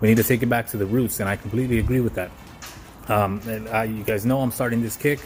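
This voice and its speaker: Noticeable background noise sits behind a man who speaks very fast at a medium pitch with monotone, flat intonation. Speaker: vlogger / aspiring entrepreneur. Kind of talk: casual vlog monologue. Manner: stuttering, halting. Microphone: poor recording quality.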